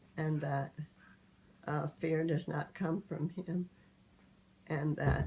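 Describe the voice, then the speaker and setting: Very slowly and with vocal fry, a woman with an American accent speaks in a very deep, low voice with a dark, mellow tone and fairly even intonation. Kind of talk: interview answer. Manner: hesitant, slow.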